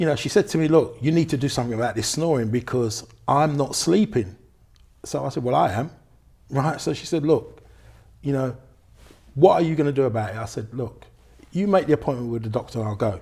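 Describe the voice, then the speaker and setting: Speaking at a fairly quick pace with long, frequent pauses, a man with a London accent has a fairly high pitch, a dark, mellow tone, lively intonation and a somewhat breathy quality. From London, England. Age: 60s. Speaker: car mechanic and cancer awareness ambassador. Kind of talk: interview.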